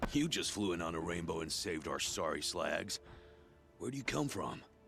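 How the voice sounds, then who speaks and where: A man puts on a gruff character voice with a very deep, low pitch at a moderate pace. Music plays clearly in the background. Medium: video game. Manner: blunt, gruff, salty insults.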